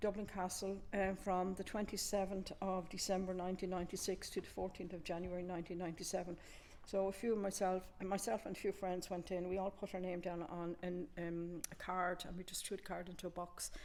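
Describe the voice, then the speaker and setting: At a fairly quick pace and with hardly any pauses, a woman with an Irish accent speaks at medium pitch in a monotone, flat intonation. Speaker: community museum contributor. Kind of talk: casual show-and-tell chat. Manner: halting.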